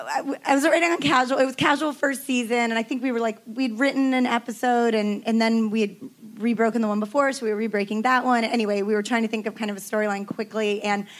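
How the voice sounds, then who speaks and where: A woman with a plain, everyday voice speaks at a fairly quick pace in a fairly high pitch, her intonation fairly even. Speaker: TV writer and showrunner. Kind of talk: panel discussion.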